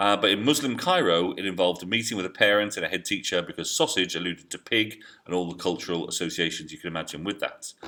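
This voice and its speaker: With a very deep, low pitch and a bright, sharp tone, a man speaks at a very fast pace with hardly any pauses and ordinary pitch variation. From England. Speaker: history teacher. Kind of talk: educational video diary. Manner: hesitant, with many fillers.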